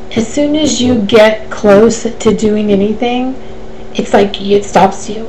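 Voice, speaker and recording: Through noticeable background noise and audible room echo, a woman speaks at a fairly high pitch with fairly even intonation. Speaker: life coach. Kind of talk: live Q&A webcast. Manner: fast.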